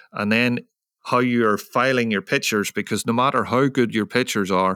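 A man with a Northern Irish accent has a bright, sharp tone and ordinary pitch variation, recorded dry and close with no echo, very clean, over a silent background. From Northern Ireland. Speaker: photojournalist. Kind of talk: interview.

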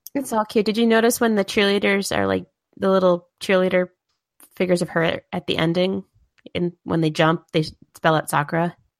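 Her voice is a plain, everyday voice, mid-pitched with ordinary pitch variation, as the woman talks fairly quickly. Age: 30s. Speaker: podcast co-host. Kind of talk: casual chat.

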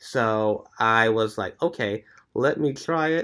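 On a very clean recording with a silent background, a man uses an ordinary speaking voice at medium pitch with ordinary pitch variation. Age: 20s. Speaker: strength and bodyweight training coach. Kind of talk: casual chat.

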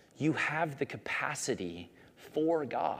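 In a very clean recording with a silent background, a man with a fairly high voice and vocal fry speaks at a very slow pace. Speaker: youth pastor. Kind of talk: sermon.

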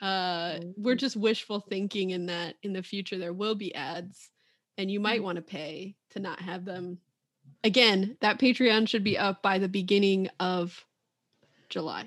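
This woman has an unremarkable speaking voice at a medium pitch. She talks at a fairly slow pace with fairly even intonation. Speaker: music therapist and podcast host. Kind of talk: casual chat.

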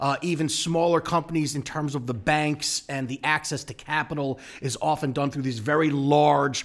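A normal speaking voice at a moderate pace with ordinary pitch variation and an American accent. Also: man. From US Northeast, Long Island. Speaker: urban real estate strategist. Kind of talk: interview conversation.

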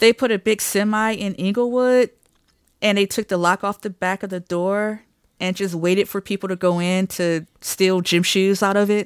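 A woman talks in an unremarkable speaking voice at a moderate pace, with medium pitch and fairly even intonation, in a very clean recording with a silent background and a dry, close sound with no echo. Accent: American. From Detroit, Michigan. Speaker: percussionist and composer. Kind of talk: casual interview chat.

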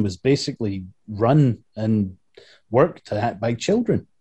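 This man's voice is somewhat breathy. Its tone is dark and mellow. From Scotland. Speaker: video game composer. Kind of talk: casual chat.

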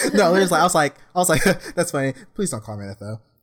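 Over a very clean recording with a silent background, a man talks at a fairly quick pace in a somewhat breathy voice with very wide pitch swings. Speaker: podcast co-host. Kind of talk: casual chat. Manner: soft-spoken.

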